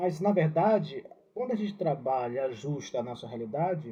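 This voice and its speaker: With a Ceará accent, a man speaks with lively intonation amid audible room echo. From Ceará, Brazil. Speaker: religious educator. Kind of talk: reflective talk. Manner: halting.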